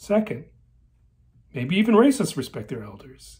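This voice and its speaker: Against a quiet background, a somewhat breathy man talks at a moderate pace with very wide pitch swings. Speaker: personal storyteller. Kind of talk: personal essay monologue. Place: home room. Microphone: phone near.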